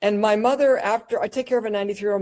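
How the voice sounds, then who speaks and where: A woman speaks with a fairly high pitch. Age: 60s. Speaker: doctor presenting on cannabis medicine. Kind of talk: educational presentation. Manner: animated, casual and joking.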